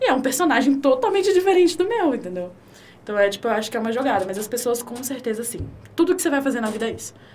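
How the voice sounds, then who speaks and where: Over noticeable background noise, a woman speaks at a very fast pace in a high voice with very wide pitch swings. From Brasília, Brazil. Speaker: creative studio owner and tattoo artist. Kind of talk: casual chat.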